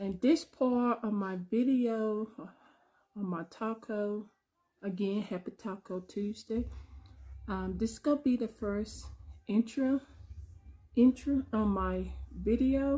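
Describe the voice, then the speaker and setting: At a very slow pace, a somewhat breathy woman speaks with ordinary pitch variation and long, frequent pauses. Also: quiet background. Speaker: home cooking channel host. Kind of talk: casual mukbang vlog chat. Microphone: phone near.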